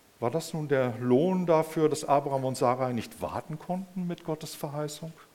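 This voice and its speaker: Pitched fairly high, a man speaks at a moderate pace with a warm tone. Noticeable background noise can be heard. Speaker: preacher. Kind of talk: sermon in a church service. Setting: church service with audience and screen. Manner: warm, conversational, addressing the congregation as 'euch'; animated, personal storytelling with rhetorical 'Ne?' asides.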